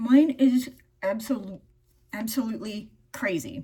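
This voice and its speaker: A woman speaks with a dark, mellow tone. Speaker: beauty vlogger. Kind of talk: get-ready-with-me vlog. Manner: loud; animated.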